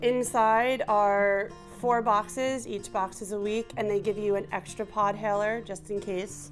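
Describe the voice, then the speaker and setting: A woman talks at a fairly slow pace with music in the background. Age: 30s. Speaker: patient with cystic fibrosis. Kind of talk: testimony; tutorial.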